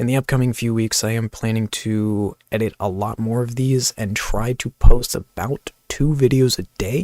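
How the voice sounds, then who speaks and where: A man speaks quietly at a moderate pace with fairly even intonation and hardly any pauses, in a dry, close sound with no echo. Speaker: gaming youtuber. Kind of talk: channel update vlog. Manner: quiet, kept low; casual, filler-heavy.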